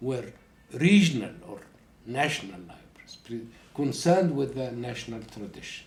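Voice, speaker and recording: With audible room echo, a man talks at a moderate pace and ordinary pitch variation. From Egypt. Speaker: professor. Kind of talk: interview. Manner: halting.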